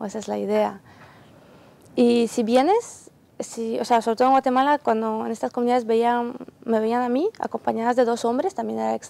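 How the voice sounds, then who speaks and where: In a dry, close sound with no echo, the woman keeps a moderate pace. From Ukraine. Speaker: volunteer aid worker. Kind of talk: TV interview.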